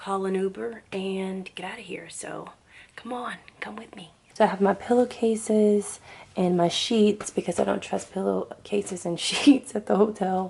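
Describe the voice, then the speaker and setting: A woman speaks at a moderate pace and a medium pitch with fairly even intonation and big swings in loudness, over noticeable background noise. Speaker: beauty and hair vlogger. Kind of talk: casual vlog. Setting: at home, early morning.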